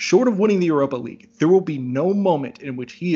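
This man has an unremarkable speaking voice. He talks at a fairly quick pace with ordinary pitch variation. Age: 30s. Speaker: sports journalist. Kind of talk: casual chat.

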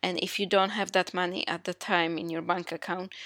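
A woman speaks at medium pitch in a non-native accent with fairly even intonation. The recording is very clean, with a silent background and a dry, close sound with no echo. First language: not English. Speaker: podcast host. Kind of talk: solo podcast monologue. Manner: halting.

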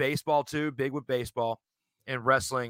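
In an American accent, a man with a bright, sharp tone and medium pitch talks at a fairly quick pace, the sound dry and close with no echo on a very clean recording with a silent background. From Virginia, Richmond area. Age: 30s. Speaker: podcaster, sports debate show host. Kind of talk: casual chat.

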